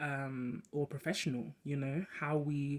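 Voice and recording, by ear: The speaker goes at a fairly slow pace, with little movement in pitch.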